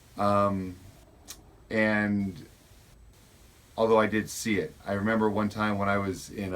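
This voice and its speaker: A man speaks at a fairly low pitch. His pace is very slow. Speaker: school administrator. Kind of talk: interview.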